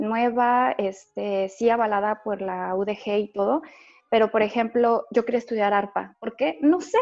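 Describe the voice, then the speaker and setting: A woman with a fairly high pitch speaks moderately fast, in an unremarkable speaking voice, her pitch varying in an ordinary way. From Jalisco, Mexico. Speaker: opera singer. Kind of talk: casual chat.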